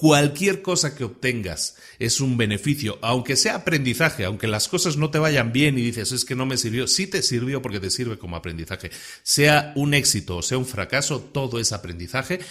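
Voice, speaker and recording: A man at medium pitch speaks at a moderate pace with lively intonation. The recording is very clean, with a silent background. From Spain. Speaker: podcast host. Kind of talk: podcast monologue. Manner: casual, with many hesitations and repetitions.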